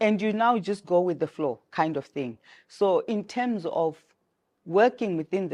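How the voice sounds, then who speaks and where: Against a quiet background, a woman with a dark, mellow tone speaks at a moderate pace with lively intonation. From Zimbabwe. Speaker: travel agency owner. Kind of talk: interview.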